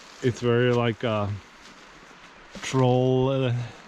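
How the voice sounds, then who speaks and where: A man talks over noticeable background noise. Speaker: outdoor vlogger / streamer. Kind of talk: casual livestream narration while hiking. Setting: outdoors in forest on a hike. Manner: loud.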